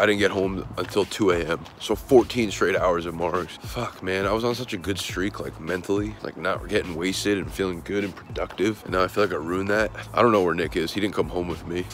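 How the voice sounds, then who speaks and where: Over light background noise, a man with a very deep, low pitch speaks fairly quickly with ordinary pitch variation, and the sound is dry with no echo. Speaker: vlogger. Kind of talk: casual vlog chat. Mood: hungover, rueful, chatty. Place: street. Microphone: phone near.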